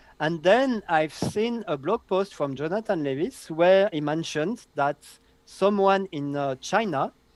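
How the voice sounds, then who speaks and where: A man with a French accent speaks at a fairly slow pace, his intonation lively. His voice is high, and the sound is dry and close with no echo. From southern France. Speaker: database consultant. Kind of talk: interview.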